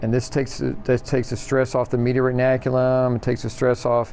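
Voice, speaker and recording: The voice runs at a fairly quick pace with monotone, flat intonation. Noticeable background noise sits behind it. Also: man. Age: 60s. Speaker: physical therapist. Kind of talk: tutorial.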